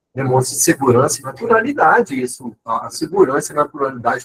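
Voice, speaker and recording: Somewhat breathy and fairly high-pitched, a man speaks with lively intonation at a moderate pace. The sound is dry and close, with no echo. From Minas Gerais, Brazil. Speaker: professor. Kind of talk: lecture.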